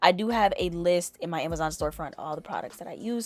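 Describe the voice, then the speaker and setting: On a very clean recording with a silent background, a woman talks at a very fast pace. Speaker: beauty youtuber. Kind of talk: tutorial. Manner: casual.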